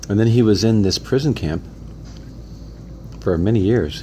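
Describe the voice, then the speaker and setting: Moderately paced speech with lively intonation, noticeable background noise behind it. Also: man. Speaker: interviewer, son of the interviewed man. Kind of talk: casual interview questions. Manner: conversational, repeating answers back.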